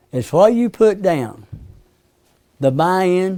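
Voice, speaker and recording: With an Appalachian accent, a man speaks in a dark, mellow tone with lively intonation. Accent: Southern US (Appalachian). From US South, East Tennessee. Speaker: hypnotherapist teaching a class. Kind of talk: lecture to a class. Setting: classroom with group. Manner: conversational, asks the audience questions.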